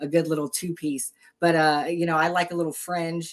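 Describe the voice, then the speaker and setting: A woman's fairly low voice, monotone and flat in intonation, at a fairly quick pace. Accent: American. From Texas. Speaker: boutique owner and lingerie fighter prospect. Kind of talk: casual interview.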